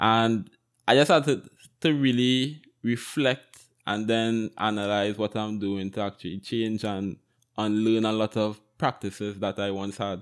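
A man with an unremarkable speaking voice talks at a fairly slow pace, his pitch fairly low with ordinary variation. The recording is very clean, with a silent background. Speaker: podcast host. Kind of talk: casual interview conversation.

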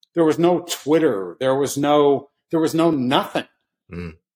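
At a fairly slow pace, a man talks in an ordinary speaking voice pitched fairly high. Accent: American. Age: 60s. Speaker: short seller. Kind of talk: casual chat.

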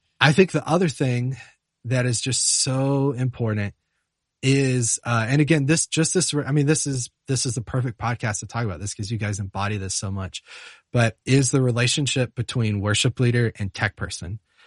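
Against a quiet background, a man speaks in an American accent, sounding somewhat breathy. The sound is dry and close with no echo. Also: medium pitch for a man, ordinary pitch variation, moderate pace. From US South, Charlotte, North Carolina. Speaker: music software teacher and worship musician. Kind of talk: casual interview.

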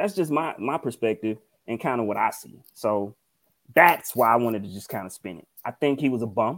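Speaking fairly quickly in a medium pitch with a Mississippi accent, a man uses lively intonation and big swings in loudness in a very clean recording with a silent background. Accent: Southern US (Mississippi). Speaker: podcast co-host. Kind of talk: casual chat.

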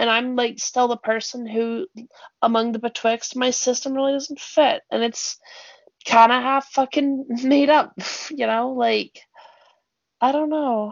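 The speaker has a Canadian accent and moves at a fairly slow pace with fairly even intonation. Long, frequent pauses break up the speech. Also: woman, high pitch for a woman. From British Columbia, Canada. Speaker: podcast co-host. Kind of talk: casual chat.

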